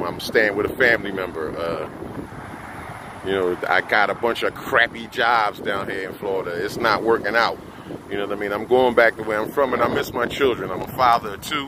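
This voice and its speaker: An American accent marks this man's medium-pitched speech, delivered at a fairly quick pace over noticeable background noise. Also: ordinary pitch variation. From US Northeast (Philadelphia / New Jersey area). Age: 50s. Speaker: vlogger. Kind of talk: casual monologue. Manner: halting, with many fillers.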